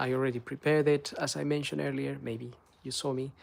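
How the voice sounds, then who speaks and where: A man with a Spanish accent speaks at a fairly quick pace in a medium pitch. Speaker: car maintenance youtuber. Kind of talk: tutorial; casual chat. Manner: hesitant, many fillers.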